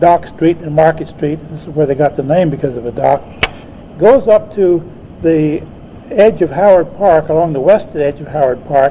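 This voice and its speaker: Noticeable background noise sits behind this recording. A man with a fairly high pitch talks at a moderate pace with ordinary pitch variation. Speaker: botanist and retired university professor. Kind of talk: oral history recollection. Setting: speaking before a club audience, archival recording.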